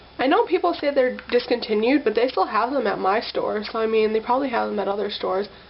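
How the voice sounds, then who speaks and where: There is noticeable background noise behind this woman. Her voice is fairly high, with ordinary pitch variation. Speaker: beauty vlogger. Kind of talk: makeup tutorial. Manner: casual, filler-heavy.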